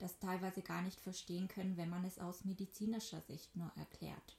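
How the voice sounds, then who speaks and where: Moving at a moderate pace, a woman speaks in a somewhat breathy voice with a dark, mellow tone. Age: 20s. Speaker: podcast host. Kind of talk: scripted introduction; read-out disclaimer.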